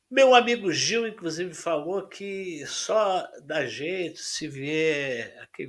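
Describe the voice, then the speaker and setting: A man speaks at a very slow pace with lively intonation. The recording is very clean, with a silent background. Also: hardly any pauses. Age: 70s. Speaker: panel debater, correspondent. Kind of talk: panel debate.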